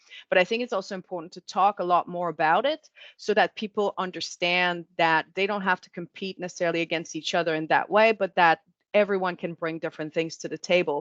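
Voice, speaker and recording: A woman with a fairly low pitch talks very fast, her intonation fairly even and her loudness swinging widely. The sound is dry and close with no echo, over a quiet background. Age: 40s. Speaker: marketing executive.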